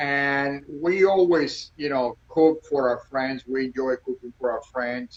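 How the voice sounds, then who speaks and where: A man with a Cuban accent speaks at a fairly slow pace with ordinary pitch variation. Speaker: restaurant owner. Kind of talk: casual interview. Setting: Instagram live video.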